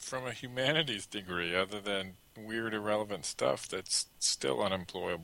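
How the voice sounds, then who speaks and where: With hardly any pauses, a man with an unremarkable speaking voice talks at a moderate pace in a fairly low pitch with ordinary pitch variation. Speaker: co-host. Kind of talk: casual podcast banter.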